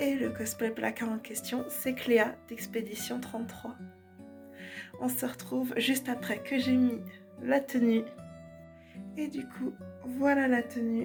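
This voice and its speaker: A woman at a very slow pace, with long, frequent pauses and music in the background. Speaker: cosplayer. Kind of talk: casual vlog talk to camera.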